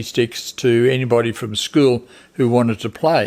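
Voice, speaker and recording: At a very slow pace, a man with an Australian accent speaks at a medium pitch. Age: 80s+. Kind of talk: interview answer.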